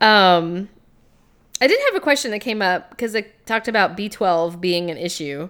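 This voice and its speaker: Ordinary pitch variation marks an unremarkable speaking voice that keeps to a moderate pace. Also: woman, medium pitch for a woman. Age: 30s. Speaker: podcast co-host. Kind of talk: casual chat.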